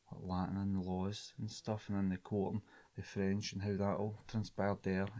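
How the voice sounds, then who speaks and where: A man with a strong Scottish accent, fairly low in pitch, with a dark, mellow tone, a monotone, flat intonation and a moderate pace, on a very clean recording with a silent background. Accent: broad Scottish. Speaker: linguistics student. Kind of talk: casual chat.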